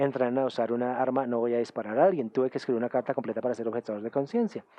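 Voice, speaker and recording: Speaking with a German accent, a man keeps a medium pitch and fairly even intonation. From Germany. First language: German (speaking Spanish). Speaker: UN official and academic speaker. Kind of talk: conference talk. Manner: halting, with filler sounds.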